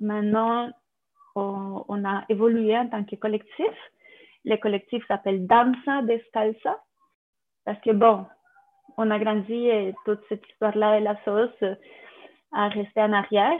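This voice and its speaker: A woman's fairly high, monotone, flat voice in a Spanish accent at a fairly slow pace with long, frequent pauses. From Colombia. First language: Spanish (speaking French). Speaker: contemporary dancer and dance teacher. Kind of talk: interview testimony.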